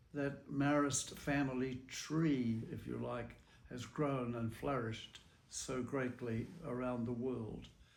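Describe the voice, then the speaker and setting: With a New Zealand accent, a man speaks at a very slow pace and a medium pitch. His intonation is monotone and flat, with audible room echo. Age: 90s. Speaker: religious brother. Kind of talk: interview testimony.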